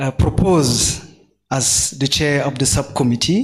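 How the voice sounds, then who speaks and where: This is a man's voice. His pitch is fairly high. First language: French. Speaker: postdoctoral researcher, genome subcommittee chair. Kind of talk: workshop panel introduction. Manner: halting, many fillers.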